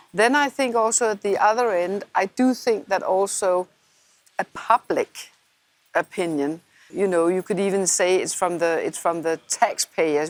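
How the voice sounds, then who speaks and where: A woman talks at a moderate pace and medium pitch with ordinary pitch variation. It is an unremarkable speaking voice. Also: dry, close sound with no echo. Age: 60s. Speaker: politician. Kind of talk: interview. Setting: parliament building.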